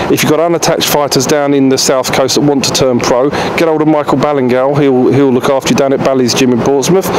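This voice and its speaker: Over noticeable background noise, a man talks at a very fast pace with hardly any pauses, very even loudness and monotone, flat intonation. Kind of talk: interview answer. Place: garden. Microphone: handheld.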